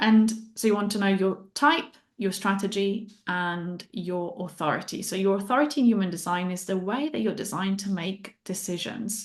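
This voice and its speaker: In an Italian accent, a woman speaks at a moderate pace and medium pitch. Her pitch variation is ordinary, and the background is quiet. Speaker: human design guide and mindset coach. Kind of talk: interview.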